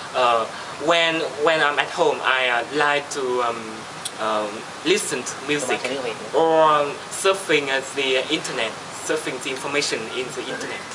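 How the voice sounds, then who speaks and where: Speech comes at a moderate pace with long, frequent pauses over noticeable background noise. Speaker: IELTS speaking test candidate. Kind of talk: speaking exam interview. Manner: halting, many fillers.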